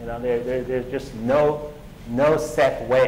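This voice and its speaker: A man's medium-pitched voice with a Chinese accent at a fairly quick pace, with audible room echo and noticeable background noise. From China. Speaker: tech entrepreneur. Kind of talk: conference talk. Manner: halting, many fillers and repetitions.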